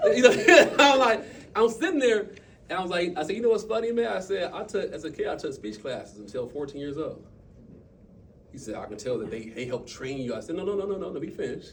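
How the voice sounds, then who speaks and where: Through audible room echo, a high-pitched man rushes along at a very fast pace, with very wide pitch swings and big swings in loudness. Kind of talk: motivational talk to a team. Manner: animated.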